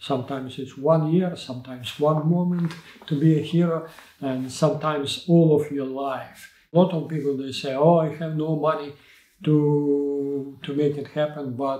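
A man with a Ukrainian accent speaks in a flat monotone at a fairly high pitch, his tone dark and mellow. Room echo is audible against a quiet background. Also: moderate pace. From Ukraine. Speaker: Olympic sailing coach. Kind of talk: interview answer. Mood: reflective, earnest. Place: studio.

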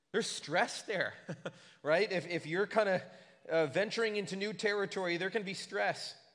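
Against a quiet background, a man with a high pitch talks at a moderate pace with fairly even intonation. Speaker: pastor. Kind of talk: sermon. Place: church. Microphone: podium.

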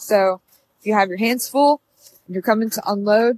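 A woman speaks in a dry sound with no echo. Light background noise can be heard. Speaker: car salesperson. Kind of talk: product walkaround tour. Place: street. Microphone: phone near.

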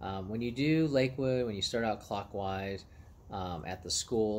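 There is light background noise as a man speaks. His pitch is fairly low and his pace moderate. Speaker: runner vlogger. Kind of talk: casual vlog chat. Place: garden. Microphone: phone near.

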